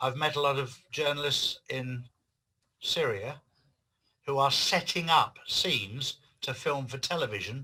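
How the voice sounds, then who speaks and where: Man with an English accent, fairly high in pitch with a bright, sharp tone, at a fairly slow pace broken by long, frequent pauses. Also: ordinary pitch variation. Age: 60s. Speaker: author and activist. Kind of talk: interview.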